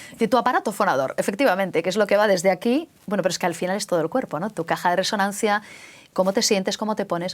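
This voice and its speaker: Very fast speech from a woman, her pitch medium. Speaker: radio host. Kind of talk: interview.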